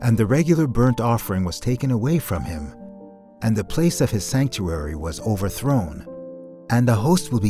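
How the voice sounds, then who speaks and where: Music plays in the background as a man talks at a moderate pace. His fairly low voice swings very widely in pitch. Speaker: voiceover artist and podcast host; podcast host reading scripture. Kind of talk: audio Bible reading.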